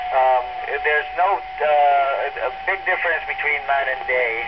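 A man speaks fairly slowly while loud noise fills the background. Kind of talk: interview answer. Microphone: two way radio.

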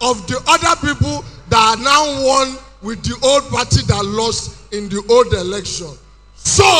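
Over music in the background, a man uses a raised, projected voice with lively intonation. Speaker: stand-up comedian. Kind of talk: stand-up comedy routine. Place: stage. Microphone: handheld.

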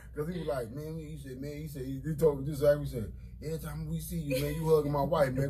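A man talking at a very fast pace with big swings in loudness, over noticeable background noise. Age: 40s. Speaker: radio show co-host. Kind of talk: casual radio talk show chat. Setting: radio studio. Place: studio. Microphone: studio mic.

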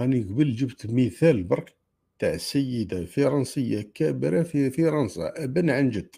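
Speaking with an Algerian accent, a man uses lively intonation and a dark, mellow, somewhat breathy tone at a fairly slow pace. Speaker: livestream host. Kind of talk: live stream commentary. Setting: live stream. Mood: argumentative, polemical. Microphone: earbuds.

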